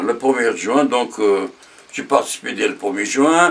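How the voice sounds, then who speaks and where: Over noticeable background noise, a man with a fairly high voice talks at a very slow pace. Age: 90s. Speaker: war veteran. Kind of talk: testimony. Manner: halting, many hesitations; repetitive, slow.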